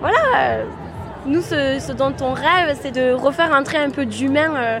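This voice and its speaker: Crowd noise fills the background and the room echoes audibly as a woman speaks at a fairly slow pace in a high voice. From France, Aveyron. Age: 30s. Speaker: programmer retraining as designer. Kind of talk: street interview. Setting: outdoors at a street demonstration.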